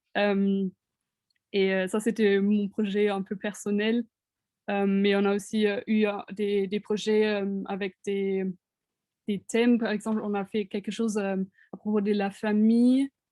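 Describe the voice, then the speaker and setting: A woman with a dark, mellow tone and medium pitch speaks very slowly in a monotone, flat way, leaving long, frequent pauses. The sound is dry and close with no echo. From Germany. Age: 20s. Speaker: international art student. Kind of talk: interview answers in webinar. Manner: halting, many hesitations.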